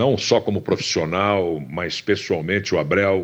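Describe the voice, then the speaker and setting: Against a quiet background, a man speaks fairly slowly in a very deep, low pitch with ordinary pitch variation. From Campinas, São Paulo state, Brazil. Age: 70s. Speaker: sports commentator. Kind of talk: interview. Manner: hesitant, many fillers and repetitions.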